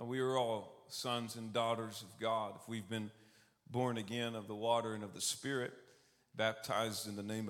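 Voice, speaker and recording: With audible room echo, a man in a Texan accent talks at a moderate pace in a monotone, flat intonation. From Texas, Austin. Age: 30s. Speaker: preacher. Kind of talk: sermon. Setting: church service.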